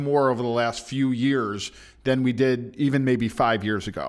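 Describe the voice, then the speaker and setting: Recorded very cleanly against a silent background, a man with an American accent and a fairly high pitch speaks at a fairly slow pace. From US Midwest, Chicago. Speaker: podcast host. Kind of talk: interview conversation. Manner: halting, many fillers.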